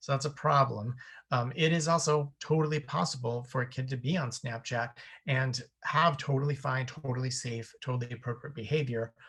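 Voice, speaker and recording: A man speaks at a medium pitch with fairly even intonation, recorded very cleanly against a silent background. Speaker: therapist and sex and tech educator. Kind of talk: workshop talk. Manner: fast.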